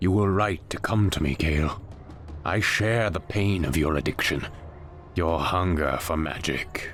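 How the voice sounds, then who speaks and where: Over clear background music, a man puts on a character voice at a moderate pace with a very deep, low pitch. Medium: video game. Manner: grave, imposing.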